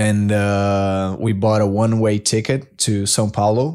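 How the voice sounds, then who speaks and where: A man with a Portuguese accent speaks in a dark, mellow tone with fairly even intonation, on a very clean recording with a silent background. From Brazil. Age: 30s. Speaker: Olympic swimmer. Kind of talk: interview conversation. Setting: studio.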